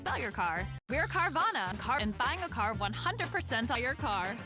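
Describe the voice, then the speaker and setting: A guttural, put-on character voice moves at a moderate pace over loud music in the background. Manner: demonstrating a way of talking.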